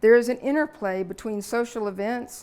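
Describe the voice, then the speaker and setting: On a very clean recording with a silent background, a woman speaks at a moderate pace, with a fairly high pitch and lively intonation. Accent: Southern US. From US South, Alabama. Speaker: lecturer. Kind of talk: lecture. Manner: relaxed, frequent fillers.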